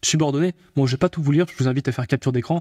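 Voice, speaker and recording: A man's very fast speech at medium pitch, with a dark, mellow tone and fairly even intonation, in a dry, close sound with no echo, on a very clean recording with a silent background. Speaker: AI tutorial youtuber. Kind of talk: tutorial. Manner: speeds up as he goes, gets fired up.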